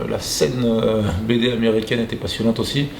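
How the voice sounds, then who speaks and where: A man's delivery is moderately paced. The room echo is audible, and background noise is noticeable throughout. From southern Paris suburbs, France. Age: 40s. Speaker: graffiti artist and comic creator. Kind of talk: interview. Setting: exhibition in Montreal. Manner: hesitant, many fillers.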